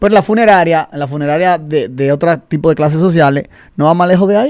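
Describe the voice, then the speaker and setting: The background stays quiet. Against it, a man's intonation sounds lively. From Dominican Republic. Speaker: insurance advisor; guest. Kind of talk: radio interview. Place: studio. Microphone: studio mic.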